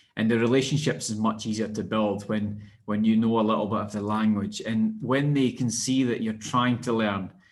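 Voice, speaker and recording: A man's medium-pitched, monotone, flat voice at a moderate pace, with hardly any pauses and audible room echo. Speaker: strength and conditioning coach. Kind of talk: podcast interview. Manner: halting, many repeated words.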